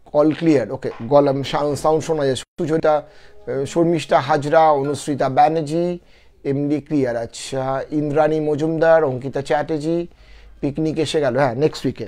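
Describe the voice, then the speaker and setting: Fairly high-pitched male voice, dark and mellow in tone, with fairly even intonation over a quiet background. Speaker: live-stream storyteller. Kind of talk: live stream chat with viewers.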